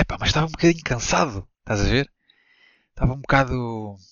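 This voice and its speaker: This man talks very fast. The rise and fall of his pitch is ordinary. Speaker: podcast co-host. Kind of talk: casual chat.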